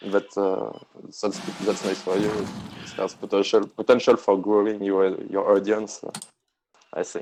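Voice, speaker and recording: A man speaks with a strong French accent at a moderate pace. He makes long, frequent pauses. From France. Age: 30s. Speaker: online card game player. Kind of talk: casual chat during gameplay. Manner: halting, many hesitations.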